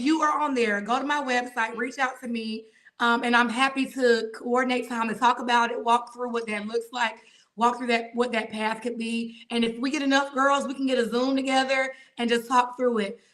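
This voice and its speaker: A woman with a Southern US accent, high in pitch, with a bright, sharp tone. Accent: Southern drawl. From Atlanta, Georgia. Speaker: judge. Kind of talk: podcast interview. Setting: video podcast. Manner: animated.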